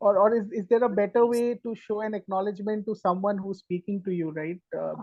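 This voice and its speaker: Fairly quick speech with an Indian accent. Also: woman. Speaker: workshop participant. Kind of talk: question from audience.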